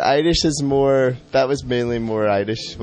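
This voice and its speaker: A man with a Scottish accent, amid noticeable background noise. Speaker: interview guest.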